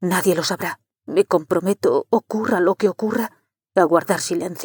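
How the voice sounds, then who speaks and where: In a put-on character voice that is raspy and anxious in tone, a female-sounding speaker talks at a moderate pace and a middle pitch. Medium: read story. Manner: anxious, urgent.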